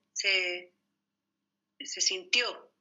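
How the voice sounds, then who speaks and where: The speaker is a woman. She talks with a Chilean accent. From Chile, Santiago. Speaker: mother of the host. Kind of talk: family interview.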